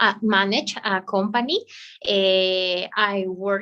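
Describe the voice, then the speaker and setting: A woman with a Spanish accent speaks at a medium pitch with fairly even intonation. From Bolivia. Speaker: English student, law professional. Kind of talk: language class conversation. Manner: halting.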